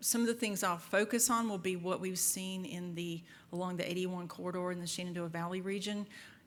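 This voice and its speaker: Audible room echo surrounds a woman of medium pitch speaking at a moderate pace. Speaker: FBI agent and trainer. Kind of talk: lecture. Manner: loud; halting.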